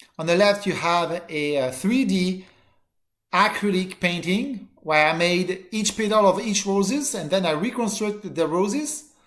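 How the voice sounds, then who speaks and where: Using lively intonation and a moderate pace, a man with a French accent talks at a high pitch. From southern France (Marseille). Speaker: college teacher. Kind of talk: course introduction video. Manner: halting.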